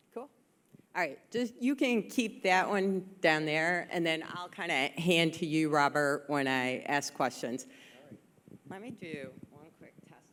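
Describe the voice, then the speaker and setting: A woman's fairly low voice with very wide pitch swings and long, frequent pauses. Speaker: panel moderator. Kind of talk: panel discussion. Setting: stage with audience in a large room. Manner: projects well normally.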